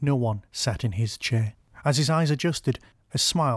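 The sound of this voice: The voice reads in an unforced manner.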